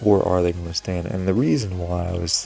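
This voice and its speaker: A man's very deep, low voice with fairly even intonation, music in the background. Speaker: gaming commentator. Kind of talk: gameplay commentary. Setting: home recording. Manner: soft-spoken.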